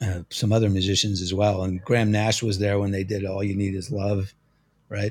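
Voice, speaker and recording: Somewhat breathy speech with an American accent at a moderate pace, on a very clean recording with a silent background. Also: man. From New Jersey. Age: 50s. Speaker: music magazine editor and drummer. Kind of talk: interview conversation.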